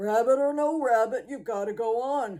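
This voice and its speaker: A woman puts on a gruff character voice. Her pitch is fairly high. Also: moderate pace. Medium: read story. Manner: gruff, barking.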